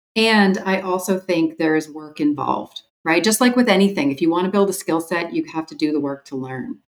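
A woman talks at a fairly quick pace with hardly any pauses, in a plain, everyday voice with a fairly low pitch and lively intonation. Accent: Canadian. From rural Ontario, Canada. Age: 50s. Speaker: leadership consultant and author. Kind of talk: interview conversation.

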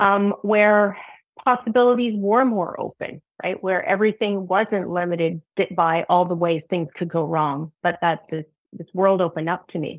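At a moderate pace, a woman speaks in an ordinary speaking voice, medium in pitch with fairly even intonation. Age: 40s. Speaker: program alumna and psychedelic coach. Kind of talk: testimony. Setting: video call.

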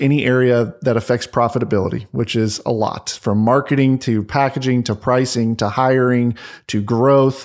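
On a very clean recording with a silent background, a man speaks at a moderate pace. He has an unremarkable speaking voice at a medium pitch. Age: 30s. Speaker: business finance coach. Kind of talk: casual interview chat.

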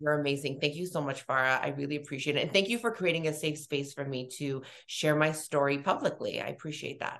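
Talking at a very fast pace with hardly any pauses, a woman speaks in a very deep, low pitch. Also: ordinary pitch variation. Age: 30s. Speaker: beauty entrepreneur and esthetician. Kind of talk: interview. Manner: casual, chatty.

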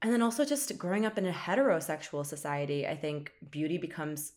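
On a very clean recording with a silent background, a woman speaks at a fairly low pitch and a moderate pace. Her intonation is lively, and she has an unremarkable speaking voice. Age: 20s. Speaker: podcast co-host. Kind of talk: casual chat.

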